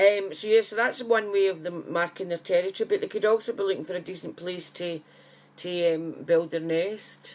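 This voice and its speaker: Loudness swings widely in this Scottish-accented voice, while the intonation stays fairly even. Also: woman, medium pitch for a woman, moderate pace. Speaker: psychic medium. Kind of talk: casual live chat to viewers. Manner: chatty, friendly.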